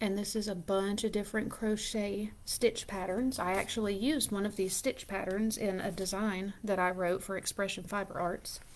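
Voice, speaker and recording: Soft-spoken and with a Southern US accent, a woman talks with hardly any pauses and fairly even intonation. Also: medium pitch for a woman, moderate pace. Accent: US South. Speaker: yarn shop owner. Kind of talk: live stream chat. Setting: at home, live video. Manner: casual.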